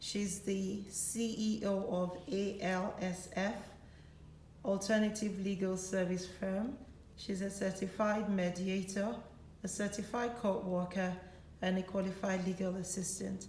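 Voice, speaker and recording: A woman speaks at a medium pitch and a fairly slow pace, her intonation monotone and flat, with noticeable background noise. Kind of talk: talk show host interview.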